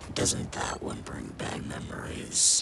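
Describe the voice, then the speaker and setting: Over loud background noise, a put-on character voice speaks at a fairly slow pace. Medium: short film. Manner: taunting, needling.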